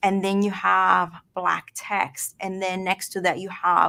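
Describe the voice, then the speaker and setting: The woman speaks with a Spanish accent at a medium pitch. Her delivery is fairly slow and monotone, with flat intonation. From Venezuela (born Mexico, Mexican-Colombian family). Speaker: design and communication instructor. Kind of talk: interview. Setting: online broadcast.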